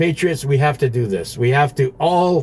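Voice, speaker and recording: A man speaks in a somewhat breathy voice of fairly high pitch. His pitch varies in an ordinary way. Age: 70s. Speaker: online commentator answering viewer questions. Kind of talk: casual monologue Q&A. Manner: halting, many fillers and restarts.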